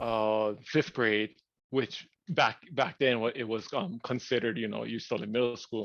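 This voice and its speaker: The man's voice sits at a medium pitch. He speaks at a moderate speed. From Hawaii. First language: Hawaiian. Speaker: podcast co-host. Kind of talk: casual chat. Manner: halting, many fillers.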